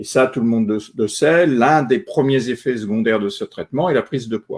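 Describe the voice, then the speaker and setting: A man speaks at medium pitch and a moderate pace. His pitch variation is ordinary. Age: 60s. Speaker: retired journalist, cancer patient. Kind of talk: testimony. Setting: online live stream. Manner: halting, many filler euh.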